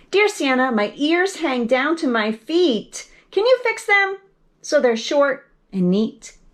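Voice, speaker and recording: Putting on a character voice, a woman speaks fairly slowly at a high pitch, her pitch swinging very widely. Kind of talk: bedtime story. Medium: read story. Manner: sweet, earnest, cutesy.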